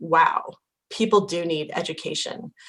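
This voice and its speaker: Using a normal speaking voice, the woman holds a fairly low pitch and fairly even intonation. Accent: American. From Idaho. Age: 40s. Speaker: impact investing educator. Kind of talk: interview.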